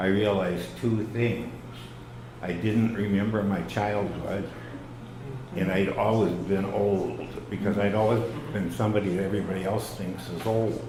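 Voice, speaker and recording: A man with an American accent and a fairly low voice, ordinary pitch variation and long, frequent pauses, amid noticeable background noise and audible room echo. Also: moderate pace. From US Midwest, Chicago area. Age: 80s+. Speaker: library co-founder. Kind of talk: talk to an audience. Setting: stage with audience. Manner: hesitant, many fillers.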